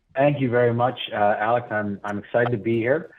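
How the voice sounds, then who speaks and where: A man talks in an American accent. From US Northeast, New Jersey. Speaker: comedian emcee. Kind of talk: stand-up style emceeing. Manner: animated.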